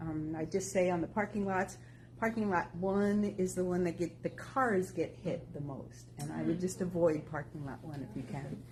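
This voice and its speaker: With lively intonation, a woman talks at a moderate pace. Her fairly low voice shows vocal fry. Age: 60s. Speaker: walking group member. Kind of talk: casual group talk.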